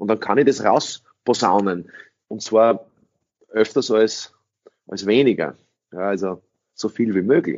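A man talks very slowly in a fairly low pitch with ordinary pitch variation. His loudness swings widely, and long, frequent pauses break up his speech. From Austria. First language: English (speaking German). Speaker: sales trainer. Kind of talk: interview.

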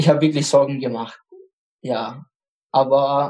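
Monotone and flat, a man's fairly high-pitched voice carries a dark, mellow tone. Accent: Arabic. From Iraq, Baghdad (Kurdish). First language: Arabic (speaking German). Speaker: refugee. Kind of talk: personal testimony interview. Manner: halting, repeats words.

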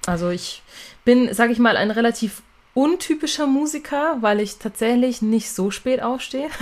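A woman's high-pitched voice shows ordinary pitch variation at a moderate pace. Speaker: singer and songwriter. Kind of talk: casual interview chat.

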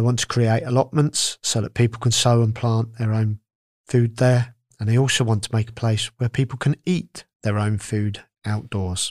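A man speaks at a moderate pace in a normal speaking voice with a medium pitch. The recording is very clean with a silent background and a dry, close sound with no echo. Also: fairly even intonation. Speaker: podcast presenter. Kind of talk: scripted news reading. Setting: studio. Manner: formal, clear.

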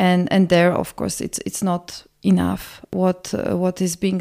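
A woman speaks at medium pitch with a Polish accent. Her pace is fairly slow, and the sound is dry and close with no echo. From Poland, Warsaw. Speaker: senior migration policy analyst. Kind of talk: podcast interview. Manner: hesitant, many fillers and repetitions.

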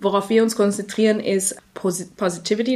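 A woman's flat, monotone delivery. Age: 20s. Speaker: journalist and association founder. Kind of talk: interview.

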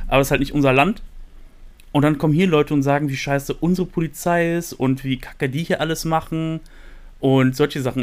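This man has an unremarkable speaking voice, pitched fairly high. He talks at a fairly quick pace with ordinary pitch variation. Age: 30s. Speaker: podcast host and American football player. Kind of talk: casual chat.

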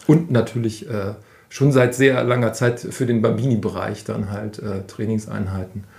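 Ordinary pitch movement in a somewhat breathy voice. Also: man, medium pitch for a man, moderate pace. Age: 40s. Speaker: youth football coach. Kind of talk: interview.

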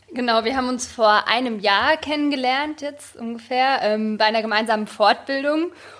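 Moderate pace and ordinary pitch variation from a woman's high voice. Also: hardly any pauses. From Germany. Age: young. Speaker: journalist and photographer. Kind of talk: casual interview chat.

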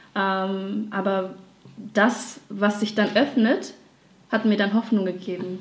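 A woman speaks very slowly at medium pitch in a monotone, flat delivery with long, frequent pauses. Audible room echo surrounds her voice. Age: 20s. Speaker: dancer and graphic designer. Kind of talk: casual interview.

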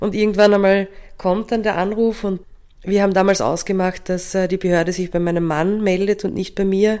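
Monotone, flat intonation marks this woman's medium-pitched speech at a moderate pace. The recording is very clean, with a silent background. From Austria, Carinthia. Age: 40s. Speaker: adoptive mother. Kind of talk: podcast interview.

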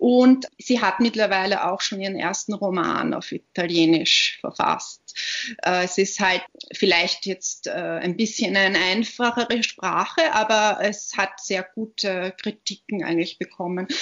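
With ordinary pitch variation, the talking proceeds at a fairly slow pace. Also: woman, medium pitch for a woman. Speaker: author and literary scholar. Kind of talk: interview. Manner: hesitant, many fillers.

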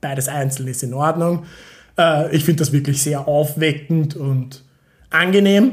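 A man with a fairly high pitch speaks in a somewhat breathy voice with fairly even intonation. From Austria, Vienna. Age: 30s. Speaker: PhD student in chemistry. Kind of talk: casual chat. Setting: at home at dining table.

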